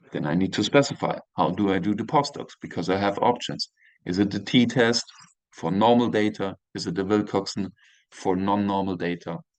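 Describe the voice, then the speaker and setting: Speaking with a German accent, a man uses a fairly low pitch with ordinary variation, the sound dry and close with no echo. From Germany, moved early to Austria. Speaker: university professor. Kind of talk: lecture. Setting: video call. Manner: halting.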